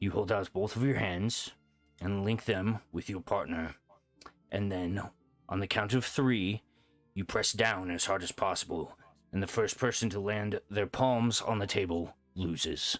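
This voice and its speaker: A man performs a put-on character voice that sounds raspy. Faint music plays in the background. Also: fairly low pitch for a man, moderate pace. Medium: actual play. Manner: hearty, booming.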